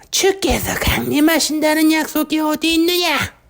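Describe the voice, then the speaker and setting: A high, put-on character voice at a moderate pace. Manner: put on, scoffing, deliberate.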